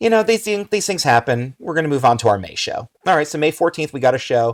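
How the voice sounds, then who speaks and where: A man with an American accent speaks very fast in a fairly high pitch, his pitch swinging very widely, on a very clean recording with a silent background. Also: dry, close sound with no echo. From New Jersey. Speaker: wrestling ring announcer. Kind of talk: casual chat.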